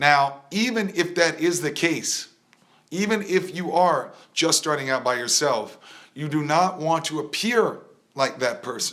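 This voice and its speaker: Bright, sharp and animated in tone, a man speaks fairly slowly at a high pitch. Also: ordinary pitch variation. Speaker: rap coach. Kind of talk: live stream talk.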